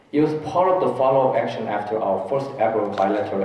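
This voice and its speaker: A Korean accent with ordinary pitch variation, audible room echo and noticeable background noise. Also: man. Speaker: disaster response official. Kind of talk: conference presentation.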